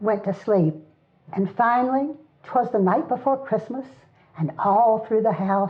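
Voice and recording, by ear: Reading aloud in a natural voice, the speaker uses ordinary pitch variation.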